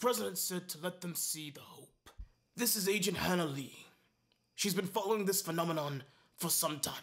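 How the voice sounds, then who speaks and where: In a gruff, put-on character voice, a man talks at a fairly quick pace with a high pitch and big swings in loudness. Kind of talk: mock badly dubbed monster-movie acting. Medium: fan dub. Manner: gruff, impatient, sarcastic.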